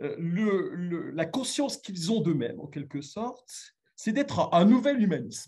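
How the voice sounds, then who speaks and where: Hardly pausing, a man speaks at a fairly slow pace in a dark, mellow tone, his high pitch making very wide swings. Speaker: philosophy lecturer. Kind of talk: lecture. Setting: remote video link to conference. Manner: halting, many fillers.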